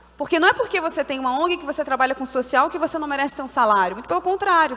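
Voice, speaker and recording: In a Carioca accent, a woman talks at a high pitch with ordinary pitch variation. Noticeable background noise is present. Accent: carioca, hissing s. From Brazil, Rio de Janeiro. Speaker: social entrepreneur, panelist. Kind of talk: conference panel talk.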